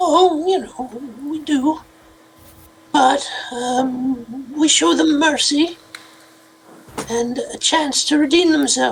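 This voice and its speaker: In a high, put-on character voice, the speaker goes at a very slow pace with long, frequent pauses. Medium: actual play.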